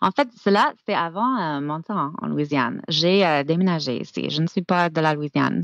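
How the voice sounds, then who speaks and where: Very deep and low in pitch, this woman's voice has lively intonation and hardly any pauses. The sound is dry and close, with no echo. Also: moderate pace. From US South, Georgia. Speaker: francophone studies scholar and teacher. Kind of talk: podcast interview. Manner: halting, many fillers.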